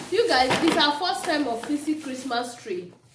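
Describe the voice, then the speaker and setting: A woman with a high voice speaks at a moderate pace amid noticeable background noise and audible room echo. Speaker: lifestyle vlogger. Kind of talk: casual vlog chat.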